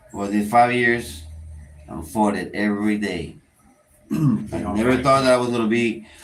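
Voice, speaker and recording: A man with a Spanish accent speaks at a moderate pace, fairly low in pitch with ordinary pitch variation and long, frequent pauses, amid audible room echo. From Panama. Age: 30s. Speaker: prison inmate, channel creator. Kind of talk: casual chat.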